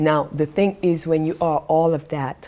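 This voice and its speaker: A woman speaks with a very deep, low pitch and a dark, mellow tone. Her intonation is fairly even. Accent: non-native. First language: not English. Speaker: life coach and vlogger. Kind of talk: vlog monologue. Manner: pauses while searching for words.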